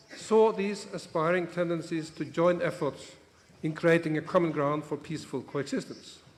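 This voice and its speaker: Fairly even intonation from a man with a high pitch. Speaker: bishop. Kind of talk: conference speech.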